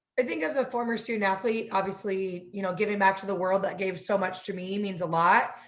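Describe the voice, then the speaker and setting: Talking at a fairly quick pace with hardly any pauses, a woman keeps her intonation fairly even amid audible room echo. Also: medium pitch for a woman. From Southern California (Northridge). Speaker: university athletics administrator, former student athlete. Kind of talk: interview. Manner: fast.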